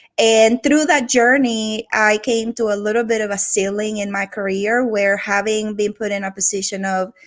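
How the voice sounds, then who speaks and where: A woman with a Venezuelan accent speaks at a medium pitch with fairly even intonation in a very clean recording with a silent background. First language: Spanish. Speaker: organizational transformation executive. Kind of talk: podcast interview.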